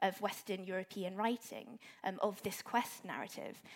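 Here is a woman with a normal speaking voice at medium pitch. She keeps a moderate pace and ordinary pitch variation. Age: 20s. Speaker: medieval literature academic. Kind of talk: panel discussion. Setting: live event with audience.

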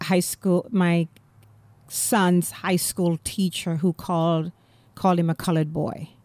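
A woman speaks with a Jamaican accent at a medium pitch. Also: dry, close sound with no echo, very clean recording, silent background. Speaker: playwright and comedian. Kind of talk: interview.

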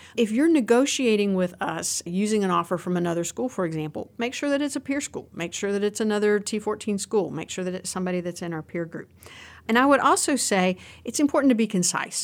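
Very fast speech in an American accent with lively intonation, in a very clean recording with a silent background. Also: woman, medium pitch for a woman. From Southwestern Virginia, US. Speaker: financial aid dean. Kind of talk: casual interview.

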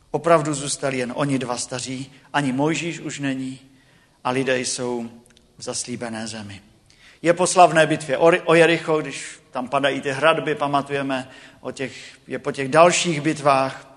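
This is an ordinary speaking voice from a man with fairly high pitch and fairly even intonation. He keeps a moderate pace, with big swings in loudness. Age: 40s. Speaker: preacher. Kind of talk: sermon. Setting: church.

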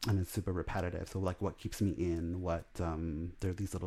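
With an American accent and a fairly quick pace, a man speaks at a very deep, low pitch with a dark, mellow tone, vocal fry and fairly even intonation, on a very clean recording with a silent background. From Los Angeles, Salvadoran family. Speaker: artist. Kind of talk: interview, casual chat.

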